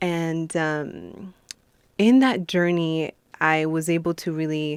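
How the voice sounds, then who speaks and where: Speaking with a Spanish accent, a woman uses a fairly low pitch and ordinary pitch variation. She talks very slowly in a very clean recording with a silent background. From Colombia, moved to US at nine. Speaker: beauty queen and motivational speaker. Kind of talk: interview.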